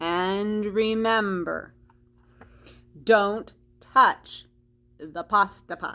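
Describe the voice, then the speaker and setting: A put-on character voice at a very slow pace, with long, frequent pauses. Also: woman, medium pitch for a woman. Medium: read story.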